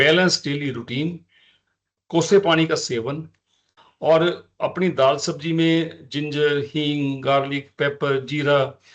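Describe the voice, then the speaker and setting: A man speaks with a Punjabi accent. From Punjab, India. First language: Punjabi (speaking Hindi). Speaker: ayurvedic physician. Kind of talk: lecture. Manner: halting, with frequent fillers.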